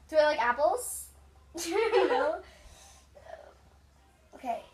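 A woman's high-pitched voice at a very slow pace, with very wide pitch swings and noticeable background noise. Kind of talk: casual talk to camera.

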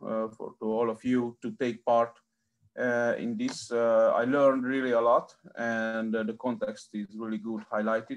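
Speaking in a Hungarian accent, a man keeps a monotone, flat intonation at a fairly slow pace. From Hungary. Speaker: researcher, panel moderator; panel moderator. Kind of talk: moderating online panel. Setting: video call. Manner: halting. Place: home room. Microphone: video call.

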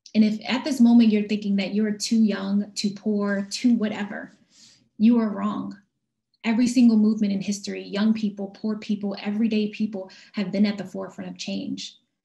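Against a quiet background, a woman with an American accent speaks in a somewhat breathy, dark, mellow tone with monotone, flat intonation. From US Northeast, West Philadelphia; Pennsylvania. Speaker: social justice advocate; speaker. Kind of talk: keynote speech. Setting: video call. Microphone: video call.

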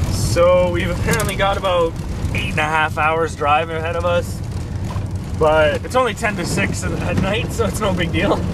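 Loud background noise runs behind a dry sound that has no echo. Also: moderate pace. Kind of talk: casual vlog chat. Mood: cheerful, laughing. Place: car. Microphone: camera far.

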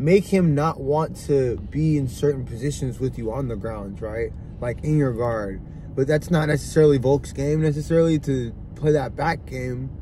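A man speaks at a moderate pace in a somewhat breathy voice with a dark, mellow tone and ordinary pitch variation. The sound is dry with no echo, with light background noise. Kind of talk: casual sports commentary chat. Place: car. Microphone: phone near.

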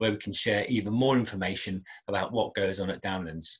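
Against a quiet background, a man talks at a fairly quick pace in a somewhat breathy voice. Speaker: school head teacher. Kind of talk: formal welcome address to parents. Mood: warm, slightly apologetic. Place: garden. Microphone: webcam.

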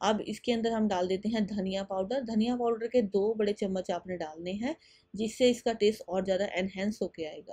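Speaking at a fairly quick pace, a woman uses a medium pitch with ordinary variation and a dark, mellow tone.

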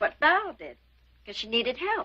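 A woman puts on a character voice with a high pitch and very wide pitch swings. Her bright, sharp tone carries a slightly husky edge at a fairly slow pace.

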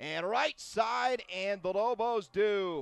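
The sound is dry and close, with no echo. A man talks with ordinary pitch variation. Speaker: sports commentator. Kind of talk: live sports commentary. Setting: broadcast of a match, highlights package. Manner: rising excitement at shootout goals and saves.

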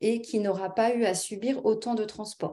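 Speaking very slowly, a woman has a fairly high pitch and a dark, mellow tone. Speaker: naturopath and hypnotherapist. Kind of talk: webinar presentation and guided relaxation. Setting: video call.

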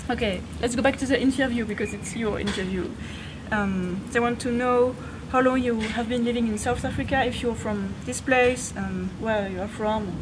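Through noticeable background noise, a woman speaks at a fairly high pitch with fairly even intonation. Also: moderate pace. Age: 30s. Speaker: vegan fitness youtuber. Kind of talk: casual interview. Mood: relaxed, playful. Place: garden. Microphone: camera far.

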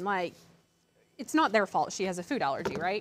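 Her intonation lively and her pace fairly quick, a woman speaks in a dry sound with no echo, over light background noise. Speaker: craft channel host. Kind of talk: live craft tutorial. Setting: studio. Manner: chatty. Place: studio.

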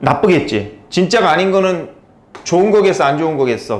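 A man talks fairly quickly with lively intonation. Room echo can be heard. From South Korea. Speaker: English tutor. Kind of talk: lecture. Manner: casual, conversational. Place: classroom. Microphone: lapel.

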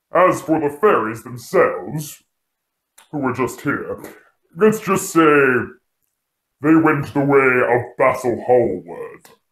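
A man's put-on character voice, fairly high in pitch, fairly slow, with long, frequent pauses. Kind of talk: horror host introduction. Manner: sardonic, mocking, menacing.

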